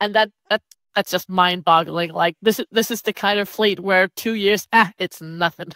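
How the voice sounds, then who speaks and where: A woman's bright, sharp voice carries fairly even intonation, the sound dry and close with no echo in a very clean recording with a silent background. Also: medium pitch for a woman, moderate pace. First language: not English. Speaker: awards ceremony co-host. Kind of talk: casual chat.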